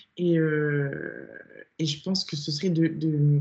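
Her voice somewhat breathy, a woman speaks at a fairly low pitch. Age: 20s. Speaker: online fitness coach and bodybuilding athlete. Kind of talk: casual interview chat.

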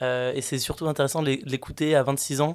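At a medium pitch, a man talks at a fairly quick pace with monotone, flat intonation. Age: 20s. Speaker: podcast host. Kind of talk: interview conversation.

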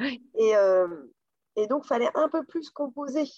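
This is a woman talking. Her delivery is neither fast nor slow, and the sound is dry and close with no echo. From western France, Loire region. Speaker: company director. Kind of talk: interview. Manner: hesitant, many fillers.

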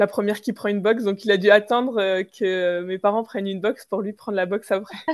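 Over a quiet background, a woman talks at a fairly quick pace with monotone, flat intonation. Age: 20s. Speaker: entrepreneur. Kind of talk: interview. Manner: hesitant, many fillers.

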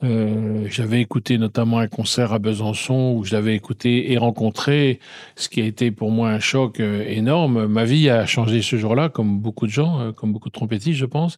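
A man of medium pitch keeps a moderate pace and fairly even intonation on a very clean recording with a silent background, dry and close with no echo. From France, Burgundy (near Dijon). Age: 60s. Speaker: trumpeter and composer. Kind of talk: interview. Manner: halting.

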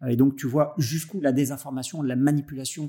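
A man with a fairly high pitch and a dark, mellow tone speaks at a fairly slow pace in fairly even intonation. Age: 50s. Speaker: podcast host, entrepreneur and business angel. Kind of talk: interview conversation.

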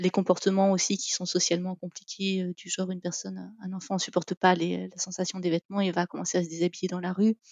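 The intonation is monotone and flat. Loudness swings widely from moment to moment. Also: woman, medium pitch for a woman. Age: 40s. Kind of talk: testimony interview. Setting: remote call. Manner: hesitant, many fillers.

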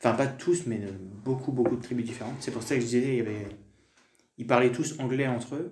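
In a room with audible echo, a somewhat breathy man at medium pitch speaks at a fairly quick pace, with fairly even intonation and long, frequent pauses. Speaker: French teacher. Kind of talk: casual interview, personal testimony. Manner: hesitant, many fillers.

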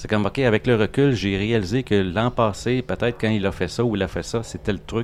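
Fairly low in pitch, a man with a Quebec accent talks with fairly even intonation. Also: fairly quick pace. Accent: Québécois. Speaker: comic book artist. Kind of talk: casual interview. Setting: restaurant.

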